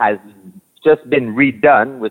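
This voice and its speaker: A man's unremarkable speaking voice at a fairly slow pace, with ordinary pitch variation. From Quebec City, Canada. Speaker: restaurant owner. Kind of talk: interview.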